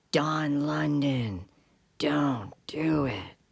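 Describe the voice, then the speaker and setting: A raspy, put-on character voice from a woman, very deep and low, with ordinary pitch variation. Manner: tempting, slow.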